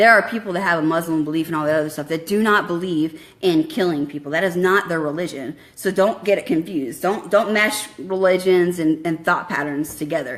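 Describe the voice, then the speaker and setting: A woman talks at a fairly quick pace in a fairly low pitch. Her pitch varies in an ordinary way. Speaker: army veteran. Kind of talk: impassioned monologue. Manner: fast; animated.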